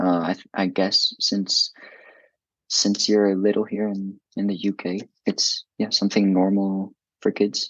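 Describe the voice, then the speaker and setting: Speaking at a fairly slow pace, a man has a non-native accent. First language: not English. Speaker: student with dyslexia. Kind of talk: interview. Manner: halting, many fillers.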